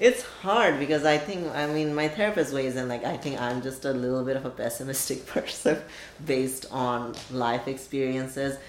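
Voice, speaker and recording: Someone speaks with a Bengali accent over noticeable background noise. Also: moderate pace. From Bangladesh, Dhaka. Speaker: oral history interviewee. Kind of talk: oral history interview. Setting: interviewer's apartment. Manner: halting, many fillers.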